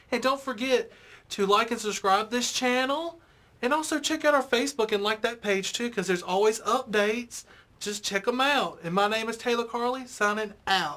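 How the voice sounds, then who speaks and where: A woman's voice sits fairly high, with a bright, sharp tone. She speaks at a moderate pace with ordinary pitch variation. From US South, Mississippi. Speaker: interview show host. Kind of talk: interview. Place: studio.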